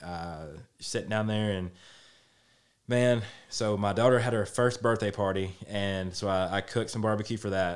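Speaking with a Middle Tennessee accent, a man uses a fairly low pitch with ordinary pitch variation at a moderate pace. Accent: Southern US (Middle Tennessee). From Tennessee, Lewisburg. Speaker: barbecue restaurant owner and baseball coach. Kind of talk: casual interview. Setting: studio.

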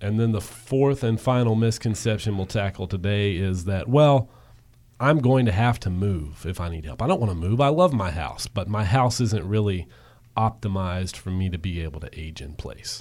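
Here is a man with an ordinary speaking voice, fairly low pitch and lively intonation, at a moderate pace. The recording is very clean, with a silent background. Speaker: radio host. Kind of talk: interview discussion on radio show.

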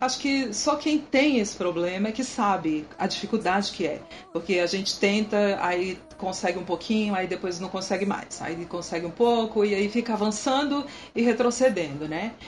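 A moderate pace and lively intonation over clearly audible background noise. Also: woman, medium pitch for a woman. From Brazil, Brasília. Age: 30s. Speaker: military police sergeant and church worship leader. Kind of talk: casual interview.

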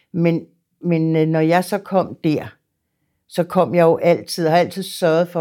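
A woman's dark, mellow tone comes through on a very clean recording, its background silent. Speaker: psychiatric nurse near retirement. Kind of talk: interview testimony. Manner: hesitant, repeats words.

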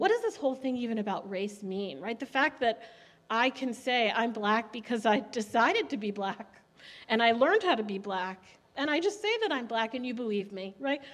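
An unremarkable speaking voice with an American accent, a fairly quick pace and ordinary pitch variation. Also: woman, fairly high pitch for a woman. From US, Haitian parents. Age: 40s. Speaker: church member panelist. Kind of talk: panel discussion. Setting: church service.

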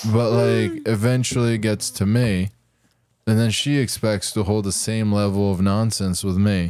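This man has a plain, everyday voice, fairly low in pitch, with fairly even intonation, very even loudness and a moderate pace. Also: very clean recording, silent background. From Idaho. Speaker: podcast co-host. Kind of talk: casual chat.

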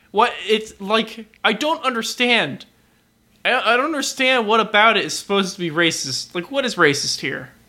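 A man projects a raised voice in a high pitch, his tone bright and sharp and his intonation lively. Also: moderate pace. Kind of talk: casual chat.

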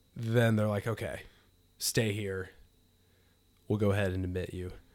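In a monotone, flat intonation, a man speaks at a fairly low pitch. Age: 30s. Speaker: guest, father. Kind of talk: casual chat, interview.

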